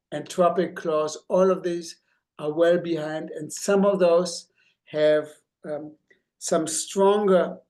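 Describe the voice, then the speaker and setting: The speaker has a German accent and talks at a very slow pace with long, frequent pauses. The intonation is monotone and flat, with audible room echo. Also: man, high pitch for a man. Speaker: obstetrician. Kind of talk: lecture. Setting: grand rounds presentation.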